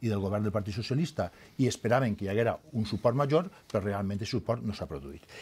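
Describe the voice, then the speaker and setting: A man with a Valencian accent, fairly low pitch, a dark, mellow tone, ordinary pitch variation and a fairly quick pace. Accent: Valencian Catalan. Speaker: politician. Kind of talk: heated debate. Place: studio. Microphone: lapel.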